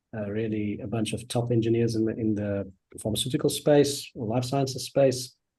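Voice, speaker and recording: Somewhat breathy, a man speaks with a South African accent and fairly even intonation. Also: medium pitch for a man, moderate pace. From South Africa, Johannesburg. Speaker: customer success manager. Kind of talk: casual interview. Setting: live stream.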